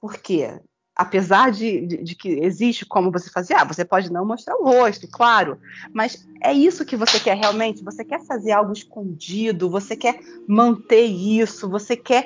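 Lively intonation at a moderate pace from a woman, fairly high in pitch, in a plain, everyday voice. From Rio de Janeiro, Brazil. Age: 30s. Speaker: content creator. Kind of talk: casual chat.

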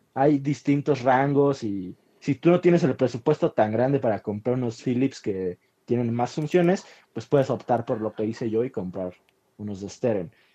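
A man's dark, mellow tone at medium pitch, lively intonation and moderate pace, in a dry, close sound with no echo. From Mexico City (Iztapalapa). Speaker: podcast co-host. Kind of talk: casual chat.

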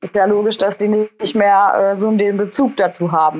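The speaker is a woman with an ordinary speaking voice. She has a medium pitch and keeps a moderate pace. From Germany, Lower Rhine. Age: 20s. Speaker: poultry farmer. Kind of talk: interview.

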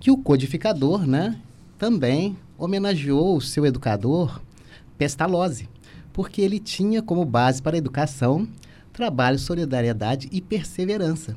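A man's fairly high, dark and mellow voice, swinging very widely in pitch at a moderate pace. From Volta Redonda, Rio de Janeiro state, Brazil (father from Minas Gerais). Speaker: spiritist center volunteer. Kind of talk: radio interview.

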